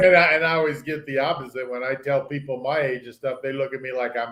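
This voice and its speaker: This man talks at a fairly quick pace in an unremarkable speaking voice pitched fairly high. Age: 60s. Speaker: cruise traveler. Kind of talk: casual chat.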